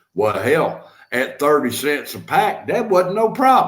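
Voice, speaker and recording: A Southern US accent with vocal fry, very wide pitch swings and a fairly slow pace. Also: man. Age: 60s. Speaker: live-stream host. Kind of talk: casual chat. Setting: live stream.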